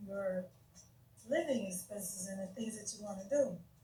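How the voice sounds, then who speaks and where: Audible room echo surrounds the speaker. She is a woman with lively intonation. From United States. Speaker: YouTube livestreamer discussing religion. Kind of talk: casual live stream talk. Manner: halting, stuttering.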